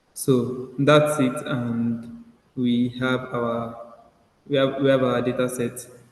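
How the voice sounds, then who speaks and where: Amid audible room echo, a man of medium pitch speaks very slowly with monotone, flat intonation. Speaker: data analytics instructor. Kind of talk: online class tutorial. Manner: halting, many fillers.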